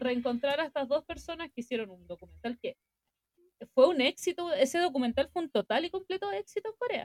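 A woman with a Chilean accent, fairly quick in pace, her pitch swinging very widely. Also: dry, close sound with no echo. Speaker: podcast co-host. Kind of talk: casual chat. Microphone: recorded quieter than co-host.

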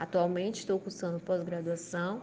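At a moderate pace, a woman speaks at medium pitch in an ordinary speaking voice. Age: 30s. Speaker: librarian. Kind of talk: video cover letter. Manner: formal.

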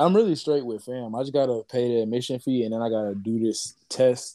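A man talks at a moderate pace in an ordinary speaking voice. His pitch is medium, with ordinary variation. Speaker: podcast host and musician. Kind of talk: casual chat. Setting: remote call.

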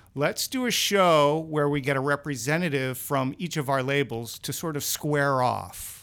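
A man speaks in a plain, everyday voice at a moderate pace and fairly high pitch, with ordinary pitch variation and hardly any pauses. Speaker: podcast host. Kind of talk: casual interview chat. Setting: studio, in person.

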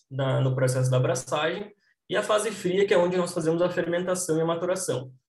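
This man's voice carries audible room echo. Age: 20s. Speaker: microbiologist, brewing consultant. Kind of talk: interview explanation.

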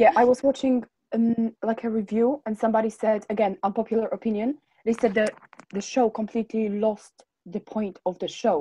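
In a dry, close sound with no echo, a woman speaks at a moderate pace with a fairly high, somewhat breathy voice, a dark, mellow tone, and fairly even intonation. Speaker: podcast co-host. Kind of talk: casual chat.

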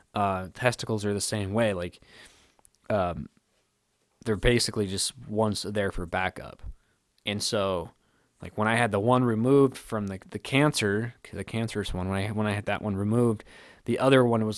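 Over a silent background in a very clean recording, a man with an unremarkable speaking voice talks at a fairly low pitch with fairly even intonation. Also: moderate pace. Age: 30s. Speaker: podcast co-host, cancer survivor. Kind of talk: casual solo talk.

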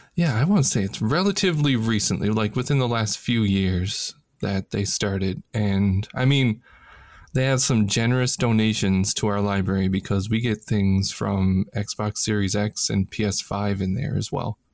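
A man's plain, everyday voice, fairly low in pitch, with an American accent, ordinary pitch variation and a moderate pace, in a very clean recording with a silent background. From Illinois. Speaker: podcast co-host. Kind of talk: casual chat.

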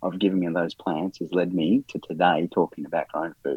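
A man's very deep, low voice with an Australian accent, at a moderate pace. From Australia, Melbourne eastern suburbs. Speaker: garden consultant and author. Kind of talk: interview. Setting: podcast recording.

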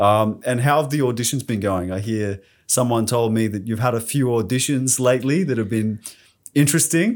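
Medium pitch and ordinary pitch variation from a man with an Australian accent, at a moderate pace, on a very clean recording with a silent background. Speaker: podcast host. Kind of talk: casual interview.

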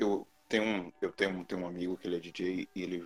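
In a very deep, low voice, a man talks with monotone, flat intonation. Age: 20s. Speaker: podcast panelist. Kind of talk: casual chat.

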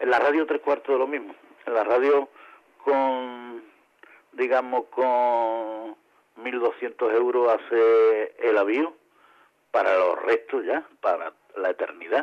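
Very slow pacing from a man, broken by long, frequent pauses. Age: 50s. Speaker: radio amateur association president. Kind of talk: interview. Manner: halting.

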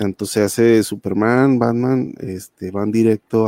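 Heard in a dry, close sound with no echo, a man speaks fairly slowly at medium pitch with a dark, mellow tone. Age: 40s. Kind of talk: casual chat. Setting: live video call.

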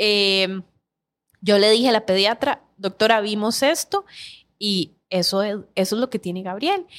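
Here a woman talks in a plain, everyday voice, at a medium pitch with ordinary pitch variation. She goes at a fairly slow pace, and the sound is dry and close with no echo. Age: 30s. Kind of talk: interview.

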